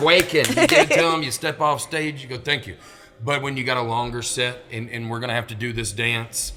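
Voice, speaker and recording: With a Southern US accent, a man speaks at a fairly quick pace, his loudness swinging widely and his pitch varying in an ordinary way. There is noticeable background noise. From Alabama. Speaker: stand-up comedian. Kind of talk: podcast interview answer. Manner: fast, high-energy.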